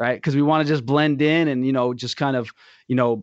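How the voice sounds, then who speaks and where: Speaking with a plain, everyday voice, the man stays at a mid-level pitch with fairly level intonation. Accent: American. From United States. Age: 20s. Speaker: school worker, former student. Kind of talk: casual chat.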